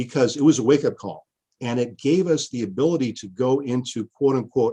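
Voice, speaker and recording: A man speaks with an American accent at a moderate pace. It is a plain, everyday voice with ordinary pitch variation. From Washington State. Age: 50s. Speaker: history professor. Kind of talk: interview conversation.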